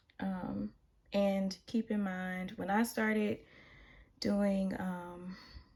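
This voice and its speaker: In an American accent, a somewhat breathy voice moves at a very slow pace with fairly even intonation and long, frequent pauses. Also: woman, medium pitch for a woman. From US South. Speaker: tarot reader. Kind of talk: tarot reading monologue. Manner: casual, with many filler ums.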